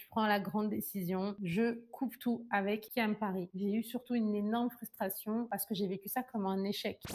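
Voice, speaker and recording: Speaking with hardly any pauses, a woman uses an unremarkable speaking voice, fairly high in pitch, with ordinary pitch variation. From France and Ivory Coast. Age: 20s. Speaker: beauty entrepreneur and YouTuber. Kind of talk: personal storytelling vlog. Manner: casual, conversational.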